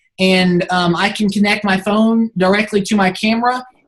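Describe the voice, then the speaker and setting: A woman's somewhat breathy, medium-pitched voice with fairly even intonation. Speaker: team lead briefing photographers. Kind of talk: instructional team briefing.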